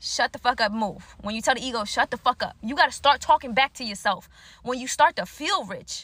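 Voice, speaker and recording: A woman speaks fairly quickly in a bright, sharp tone, with high pitch and lively intonation. Her loudness swings widely, and the sound is dry and close with no echo. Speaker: spiritual speaker. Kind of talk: motivational monologue. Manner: casual.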